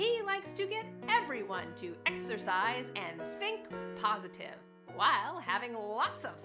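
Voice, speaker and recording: Music plays behind a woman's voice. She speaks at a fairly slow pace. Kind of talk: promotional sizzle reel narration.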